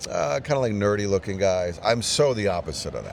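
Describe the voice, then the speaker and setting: Noticeable background noise sits under a man's voice. He speaks at a moderate pace with a fairly low pitch. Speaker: coaching client. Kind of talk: interview. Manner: calm.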